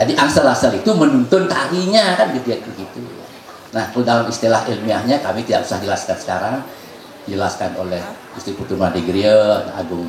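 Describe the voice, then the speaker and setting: A man speaks very fast at a medium pitch, swinging very widely up and down. Noticeable background noise and audible room echo surround him. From Bali, Indonesia. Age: 60s. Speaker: traditional dance master. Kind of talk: workshop lecture.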